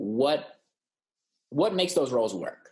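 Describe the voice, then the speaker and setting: Lively in intonation, a man with an American accent speaks at a fairly high pitch. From California. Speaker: podcast co-host. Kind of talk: casual chat.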